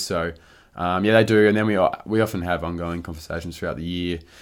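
In a rural Victorian accent, a man talks very fast with very deep, low pitch and fairly even intonation, the recording very clean with a silent background. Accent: Australian, rural Victorian. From rural Victoria, Australia (Warrnambool area). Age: 20s. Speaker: professional Australian football player. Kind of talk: casual interview chat.

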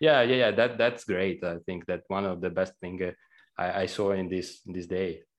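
Over a quiet background, a man with a very deep, low pitch speaks at a moderate pace with ordinary pitch variation. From Italy. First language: Italian. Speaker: game programmer. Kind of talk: casual interview.

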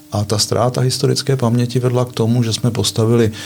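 A man speaks over noticeable background noise. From eastern Bohemia, Czechia (Litomyšl). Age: 60s. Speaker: water management engineer. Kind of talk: casual chat.

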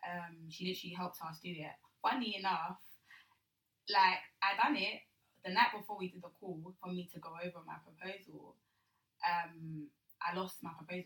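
Speaking at a moderate pace with a bright, sharp tone, a woman at medium pitch keeps fairly even intonation while her loudness swings widely and long, frequent pauses break up her speech. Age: 20s. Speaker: student and youth charity founder. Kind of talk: casual interview chat. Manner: hesitant, many fillers.

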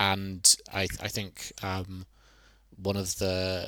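A man speaks in a southern English accent, his pitch fairly low and his tone bright and sharp. The recording is very clean, with a silent background. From Brighton, southern England. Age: 20s. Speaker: researcher on bisexuality. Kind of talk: interview. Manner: hesitant, many fillers.

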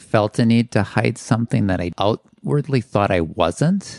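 A man has an unremarkable speaking voice at a fairly low pitch. The sound is dry and close, with no echo. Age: 50s. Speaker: guest sharing story. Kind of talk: casual interview chat.

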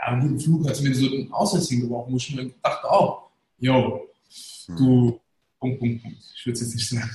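A man speaks at a fairly quick pace with a medium pitch and ordinary pitch variation. His dark, mellow tone is somewhat breathy, broken by long, frequent pauses. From Germany, Hesse (Darmstadt area, Turkish family). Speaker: managing director, entrepreneur. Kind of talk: casual interview, storytelling. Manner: colloquial, filler-heavy.

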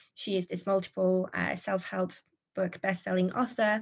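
A woman speaks with a French accent at a moderate pace. The background is quiet. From France. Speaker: social media consultant. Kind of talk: interview conversation.

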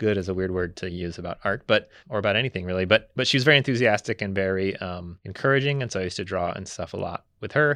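A man with an American accent talks at a very fast pace in a fairly low pitch, his tone bright and sharp, his pitch variation ordinary, against a quiet background. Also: hardly any pauses, dry, close sound with no echo. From US South (Memphis, Tennessee). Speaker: art professor. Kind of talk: casual interview.

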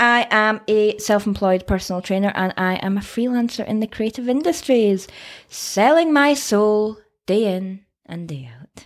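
A woman speaks with a Scottish accent and lively intonation. Her loudness swings widely. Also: fairly high pitch for a woman, moderate pace. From Scotland. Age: 20s. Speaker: podcast co-host and personal trainer. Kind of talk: casual chat. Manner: animated.

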